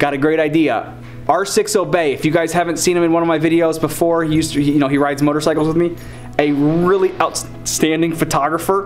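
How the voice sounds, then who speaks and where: Over faint music in the background, a man talks at a fairly quick pace in a monotone, flat intonation. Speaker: vlogger. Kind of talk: casual vlog chat. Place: home room. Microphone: phone near.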